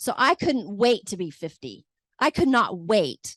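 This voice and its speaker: A woman speaks with very wide pitch swings. The sound is dry and close with no echo, and the background is quiet. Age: 50s. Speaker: realtor. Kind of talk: seminar panel talk.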